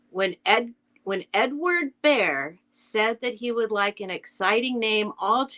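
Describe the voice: A plain read-aloud against quiet surroundings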